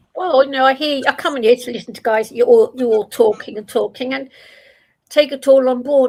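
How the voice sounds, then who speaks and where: A woman with a high pitch. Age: 70s. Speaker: open panel participant. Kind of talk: casual chat.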